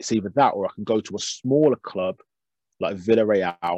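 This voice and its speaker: With a fairly low pitch and ordinary pitch variation, a man speaks at a moderate pace, the sound dry and close with no echo. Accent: Birmingham. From Birmingham, England. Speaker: youth football coach. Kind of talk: casual interview.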